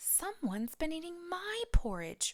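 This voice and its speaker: In a put-on character voice, a female-sounding speaker goes at a fairly slow pace with an extremely high pitch. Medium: read story.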